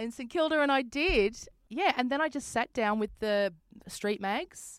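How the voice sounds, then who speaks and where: At a moderate pace, a woman speaks in an Australian accent with ordinary pitch variation. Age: 40s. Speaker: comedian and radio presenter. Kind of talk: casual interview chat. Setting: video call.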